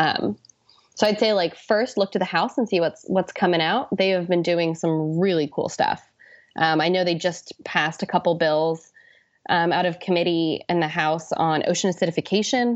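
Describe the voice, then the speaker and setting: At a moderate pace, a woman with an American accent uses a plain, everyday voice at a fairly low pitch, with very even loudness and ordinary pitch variation. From US Pacific Northwest. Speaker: ocean policy fellow. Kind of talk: interview.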